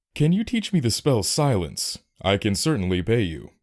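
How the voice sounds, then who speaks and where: A man puts on a character voice, his pitch swinging very widely. His pitch sits in the middle range, and his pace is moderate. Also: very clean recording, silent background. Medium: read story.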